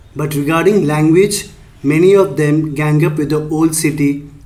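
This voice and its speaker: A man with a Telugu accent speaks in a fairly high pitch with fairly even intonation. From northern India, Delhi. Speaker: YouTuber, commentator on language politics. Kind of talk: scripted commentary.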